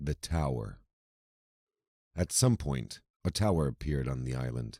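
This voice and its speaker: At a fairly slow pace, a man talks in a dark, mellow tone with lively intonation, on a very clean recording with a silent background and a dry, close sound with no echo. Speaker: voice-over artist. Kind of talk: scripted narration. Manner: measured.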